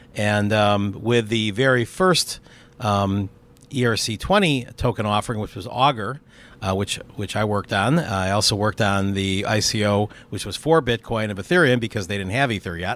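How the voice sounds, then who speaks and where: A man's ordinary speaking voice, fairly low in pitch, with ordinary pitch variation and a moderate pace. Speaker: crypto investor and entrepreneur. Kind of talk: casual interview. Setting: outdoors on a rooftop terrace.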